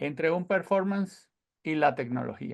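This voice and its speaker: A man with a Venezuelan accent at a moderate pace, quiet background. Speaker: sound engineer. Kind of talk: lecture.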